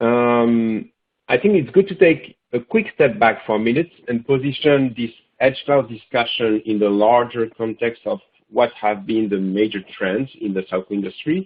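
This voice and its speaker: A man with a French accent at a moderate pace, with lively intonation. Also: medium pitch for a man. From France. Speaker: product manager. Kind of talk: webinar presentation. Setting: online webinar.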